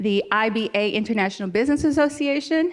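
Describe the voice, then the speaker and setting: A woman speaks at a moderate pace in a fairly high pitch. Her tone is animated and her intonation lively. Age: 60s. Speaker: conference organizer. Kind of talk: welcome speech. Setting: stage with audience.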